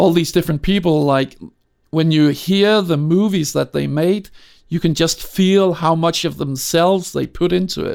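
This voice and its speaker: Moderately paced, a man speaks in a high voice with a Danish accent. His intonation is fairly even, and the recording is very clean with a silent background. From Denmark, Copenhagen. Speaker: film sound designer. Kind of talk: interview. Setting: home studio. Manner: halting.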